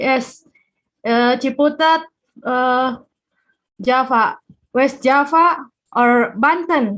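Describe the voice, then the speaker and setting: Speaking very slowly with long, frequent pauses, a woman uses a high pitch and ordinary pitch variation in an Indonesian accent. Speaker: geophysicist. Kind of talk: casual chat. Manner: halting.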